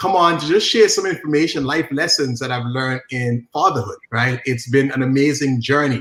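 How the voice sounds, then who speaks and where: A man with an Antiguan accent, medium in pitch, fairly quick in pace, with ordinary pitch variation. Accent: Antiguan Caribbean. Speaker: social media marketing coach. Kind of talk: interview. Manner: animated.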